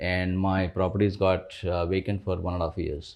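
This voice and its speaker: A man speaks in a very deep, low voice with a Kannada accent. His intonation stays fairly even at a moderate pace. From India, rural Karnataka near Bangalore. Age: 40s. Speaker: investor, former tech professional. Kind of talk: interview. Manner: hesitant, many fillers.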